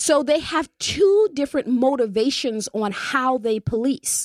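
A woman's warm tone with very wide pitch swings at a fairly slow pace, in a dry, close sound with no echo. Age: 40s. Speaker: community radio talk show host. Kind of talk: radio DJ station-ID patter, reading call-in number and social media plugs; community radio talk show, casual conversational monologue on politics and policing. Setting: radio studio, simulcast live on Facebook. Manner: warm, chatty, filler-heavy (um, uh), repeats words while thinking; friendly upbeat announcer cadence, briskly listing numbers and ways to join.

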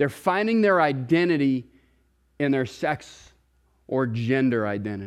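Lively intonation carries through a very clean recording with a silent background. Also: man. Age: 30s. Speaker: pastor. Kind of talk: sermon. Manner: halting, repeats words.

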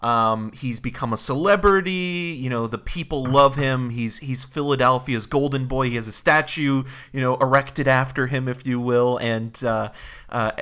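Bright and sharp in tone, a man speaks at medium pitch with ordinary pitch variation and a moderate pace. The recording is very clean with a silent background. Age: 30s. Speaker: podcast host and film reviewer. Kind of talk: casual chat.

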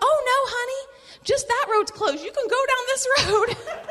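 A woman does a squeaky, put-on character voice with a Southern US accent, pitched extremely high. She speaks at a moderate pace with ordinary pitch variation. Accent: Southern American. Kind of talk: friendly, folksy.

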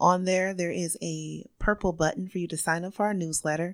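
A woman talks at a moderate pace in an ordinary speaking voice. The recording is very clean, with a silent background. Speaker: podcast guest, community organization organizer.

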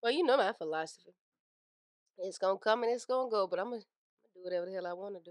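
In a dry, close sound with no echo, a woman with a medium-pitched voice talks at a very fast pace with ordinary pitch variation and big swings in loudness. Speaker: podcast co-host. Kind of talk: casual chat.

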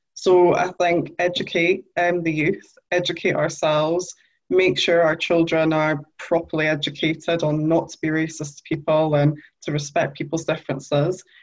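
In a Geordie accent, a woman speaks at a moderate pace with a fairly low pitch and monotone, flat intonation. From northern England, Newcastle. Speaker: journalist. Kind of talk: interview.

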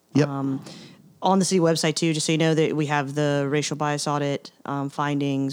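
Speaking at a fairly quick pace with an American accent, a woman with a very deep, low pitch keeps a flat, monotone intonation on a very clean recording with a silent background. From US South, Appalachian North Carolina. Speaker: police officer. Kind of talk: casual interview chat.

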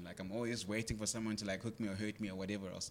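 A man with a fairly low pitch talks in a monotone, flat intonation. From Greytown, KwaZulu-Natal, South Africa. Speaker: church youth leader. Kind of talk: panel talk sharing stories.

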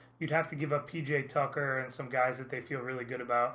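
A man has an ordinary speaking voice at medium pitch, with an American accent. His intonation stays fairly even. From US Midwest, Indiana. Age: 30s. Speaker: sports podcast co-host. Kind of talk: casual chat. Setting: studio.

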